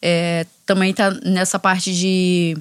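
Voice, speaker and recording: A woman with a Rio de Janeiro accent at a medium pitch and monotone, flat intonation, on a very clean recording with a silent background and a dry, close sound with no echo. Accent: Carioca Brazilian Portuguese. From Rio de Janeiro, Complexo da Maré. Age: 20s. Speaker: judo instructor and NGO founder. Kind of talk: interview conversation.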